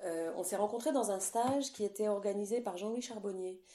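A woman's medium-pitched voice with a dark, mellow tone and ordinary pitch variation. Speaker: recorder player and music teacher. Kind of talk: interview. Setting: remote call during lockdown. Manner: hesitant, many fillers. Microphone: echo.

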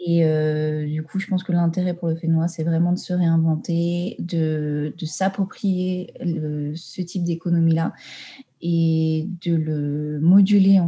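Somewhat breathy woman's voice, fairly low in pitch with a dark, mellow tone, fairly even intonation and a fairly slow pace. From Tahiti, French Polynesia. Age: 20s. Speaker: environmental management consultant. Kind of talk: interview. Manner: halting, many fillers.

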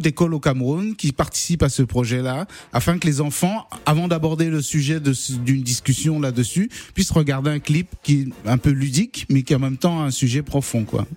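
Fairly high-pitched male voice, dark and mellow, with ordinary pitch variation and a moderate pace, on a very clean recording with a silent background. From Cameroon. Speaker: singer-songwriter. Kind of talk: radio interview. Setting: radio studio.

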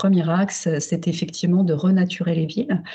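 A woman speaks at a fairly slow pace and medium pitch. Noticeable background noise sits behind her. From Paris, France. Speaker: urban planning researcher. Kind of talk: remote interview. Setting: remote call. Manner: halting, many fillers.

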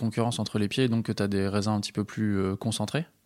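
The recording is very clean with a silent background as a man talks at a medium pitch and a very fast pace. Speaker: podcast host. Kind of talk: interview.

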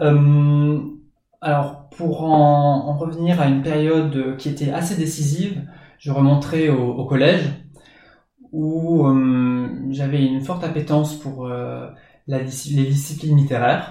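A man talks very slowly in a fairly high, flat, monotone voice. He takes long, frequent pauses, and the room echo is audible. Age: 20s. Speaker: teacher and graduate student. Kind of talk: interview.

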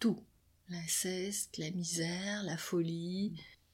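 Somewhat breathy and medium in pitch, a woman speaks very slowly with fairly even intonation. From Quebec. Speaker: psychoanalyst. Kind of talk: interview. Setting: her office.

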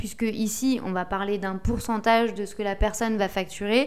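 Moderately paced speech from a woman, fairly high in pitch and fairly even in intonation. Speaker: podcast host and SEO consultant. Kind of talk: solo podcast tutorial. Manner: relaxed, conversational.

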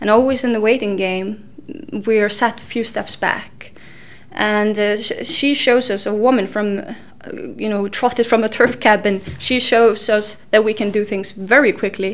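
A woman with an Icelandic accent, fairly high pitch, fairly even intonation and a moderate pace. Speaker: historian. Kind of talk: interview.

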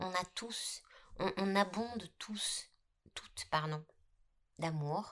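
A woman speaks at a very slow pace, with long, frequent pauses. Her pitch sits at a medium level. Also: ordinary pitch variation. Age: 50s. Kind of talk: casual chat. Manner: halting, many repetitions.

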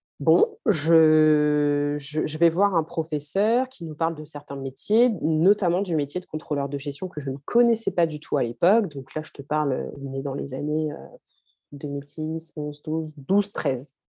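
A woman's very deep, low voice at a fairly slow pace, with big swings in loudness. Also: ordinary pitch variation. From France, Haitian family. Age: 30s. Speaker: financial consultant. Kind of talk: interview.

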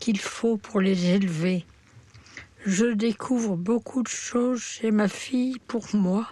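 A woman at a very slow pace, fairly high in pitch with fairly even intonation, against noticeable background noise. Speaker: terminally ill woman. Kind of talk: reading aloud a personal testimony.

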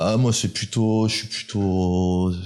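A man's voice with fairly even intonation. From France, Grenoble area (Alps). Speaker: independent watchmaker. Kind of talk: interview. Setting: workshop. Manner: halting.

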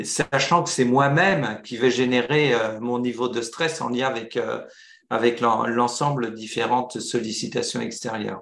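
At a fairly slow pace, a man of medium pitch speaks with ordinary pitch variation amid audible room echo. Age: 60s. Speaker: entrepreneur. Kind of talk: interview. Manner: halting.

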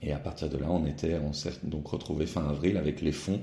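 The voice has a dark, mellow tone and is somewhat breathy, with fairly even intonation. It moves at a moderate pace, and the room echo is audible. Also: man. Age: 40s. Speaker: newspaper editor-in-chief. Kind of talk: interview.

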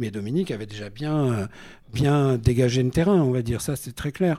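A man speaks at medium pitch and a moderate pace, with lively intonation. His tone is dark and mellow, and the recording is very clean with a silent background. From Normandy, France. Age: 60s. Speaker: singer-songwriter. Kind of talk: casual chat. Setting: stage with audience.

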